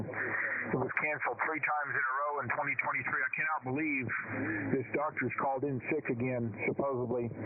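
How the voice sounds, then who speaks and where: Against noticeable background noise, a man talks at a moderate pace with fairly even intonation. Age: 60s. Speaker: amateur radio operator, veteran. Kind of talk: radio net check-in. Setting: amateur radio. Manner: halting.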